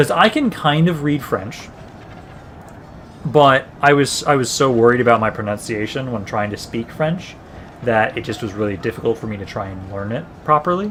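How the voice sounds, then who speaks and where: Amid noticeable background noise, a man with a medium pitch talks at a moderate pace, with lively intonation and big swings in loudness. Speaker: gaming streamer. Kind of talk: live stream commentary. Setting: live stream. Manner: halting, with filler sounds.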